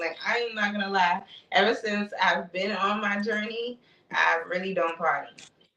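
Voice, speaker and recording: Speaking at a moderate pace in an American accent, a woman keeps a medium pitch and fairly even intonation. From Brooklyn, New York (East Flatbush). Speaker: spiritual content creator. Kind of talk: casual interview chat.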